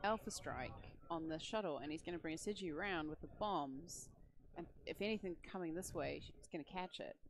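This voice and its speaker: Her intonation is lively. The woman speaks with an Australian accent. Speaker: game commentator. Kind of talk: live commentary.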